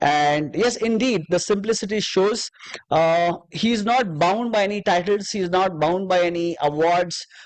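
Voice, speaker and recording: Speaking at a fairly slow pace, a man with a high pitch keeps his loudness very even. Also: ordinary pitch variation. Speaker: podcast host. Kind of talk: interview. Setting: live show. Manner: halting.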